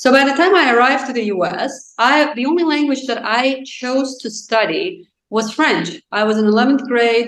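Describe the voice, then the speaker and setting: Barely pausing, a woman with a high pitch speaks at a moderate pace with ordinary pitch variation. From Azerbaijan. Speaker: author. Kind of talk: casual interview chat. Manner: excited.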